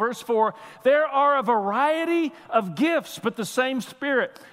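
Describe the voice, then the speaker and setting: A man speaks loudly at an extremely high pitch. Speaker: pastor. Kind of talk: sermon. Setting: church. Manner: animated.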